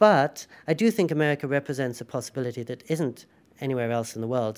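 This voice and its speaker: The speaker has a British accent and a fairly quick pace. The pitch varies in an ordinary way, and the recording is very clean with a silent background. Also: man. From England. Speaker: writer and journalist. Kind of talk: interview.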